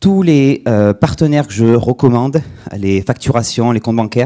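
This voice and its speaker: A man with a dark, mellow tone, medium pitch and lively intonation at a moderate pace, in a very clean recording with a silent background. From southwest France (Agen). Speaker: micro-business educator, conference speaker. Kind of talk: conference talk. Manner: casual, interactive.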